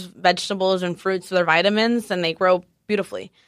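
On a very clean recording with a silent background, a woman talks at a moderate pace at medium pitch in an ordinary speaking voice. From Mexico-US border (Tijuana, Guadalajara, San Diego). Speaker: chef. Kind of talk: casual chat.

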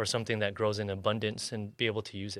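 A man with an American accent talks at a very fast pace in a bright, sharp tone on a very clean recording with a silent background. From San Diego South Bay, California. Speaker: chef. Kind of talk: casual interview.

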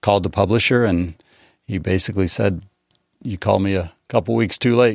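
A man with an American accent speaks at a moderate pace in a fairly low pitch with ordinary pitch variation. He has an ordinary speaking voice, and the background is quiet. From Colorado Eastern Plains, rural. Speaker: newspaper publisher. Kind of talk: casual interview.

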